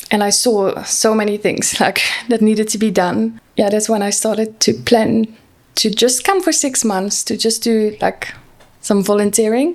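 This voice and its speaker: Her intonation fairly even, a woman with a Dutch accent speaks at a moderate pace and a fairly high pitch. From Netherlands. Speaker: social worker. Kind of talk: podcast interview.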